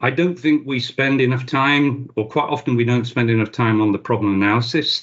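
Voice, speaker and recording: Speaking in a plain, everyday voice at a medium pitch, a man moves at a fairly quick pace with hardly any pauses, very even loudness and ordinary pitch variation. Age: 60s. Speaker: cybersecurity expert. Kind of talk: interview.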